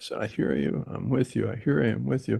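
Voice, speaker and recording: Against a quiet background, a man's voice carries vocal fry and very wide pitch swings. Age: 80s+. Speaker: therapist. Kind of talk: meeting discussion, personal anecdote.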